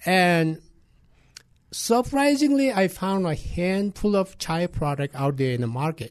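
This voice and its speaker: Slowing to a fairly slow pace, a man speaks in a high voice. His pitch swings very widely. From Nepal, Everest region. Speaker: restaurant owner. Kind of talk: interview. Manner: halting, many fillers.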